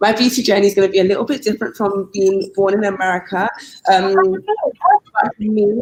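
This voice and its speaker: A woman with a British accent speaks at a moderate pace, her medium pitch held to fairly even intonation. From London, England. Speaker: guest panelist. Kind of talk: casual chat.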